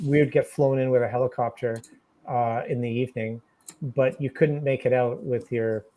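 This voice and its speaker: An unremarkable speaking voice with a Canadian accent. It moves at a moderate pace with fairly even intonation. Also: man, medium pitch for a man. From Canada. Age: 60s. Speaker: outdoor gear maker. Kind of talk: interview.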